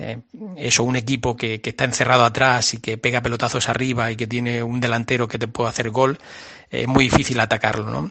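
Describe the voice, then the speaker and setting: Speaking very fast with a Murcian accent, a man holds a medium pitch and a monotone, flat intonation. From Murcia, Spain. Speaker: biologist. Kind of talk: radio interview. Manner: halting, many fillers.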